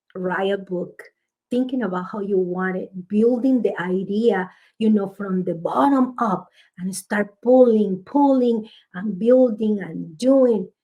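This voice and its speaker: A woman with a strong Spanish accent, a dark, mellow tone and a fairly slow pace. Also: medium pitch for a woman, ordinary pitch variation. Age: 50s. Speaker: author. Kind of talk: interview conversation. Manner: halting.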